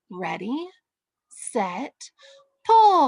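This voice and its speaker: A woman's put-on character voice, high-pitched, with very wide pitch swings. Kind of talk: bedtime story. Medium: read story.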